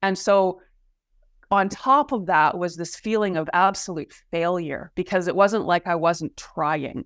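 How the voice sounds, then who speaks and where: Using a normal speaking voice, a woman speaks fairly slowly at a medium pitch with ordinary pitch variation. The sound is dry and close with no echo, on a very clean recording with a silent background. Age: 50s. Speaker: fascia therapist and wellness coach. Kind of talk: interview conversation.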